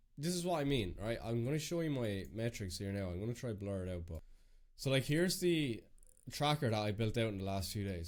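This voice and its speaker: With an Irish accent, a man speaks at a medium pitch with lively intonation. The recording is very clean against a silent background. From Ireland. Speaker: business coach. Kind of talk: screen-share walkthrough. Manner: casual, filler-heavy.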